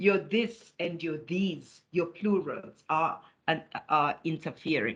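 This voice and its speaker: A woman speaks at a very slow pace with lively intonation and a South African accent. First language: isiZulu. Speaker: academic writing lecturer. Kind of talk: webinar lecture.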